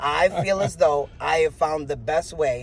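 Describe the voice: A man talks at a slow pace in a slightly mellow tone.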